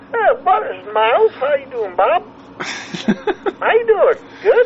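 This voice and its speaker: A put-on character voice at an extremely high pitch swings very widely in pitch. It moves at a fairly slow pace, with clear background noise behind it. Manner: comical, exaggerated.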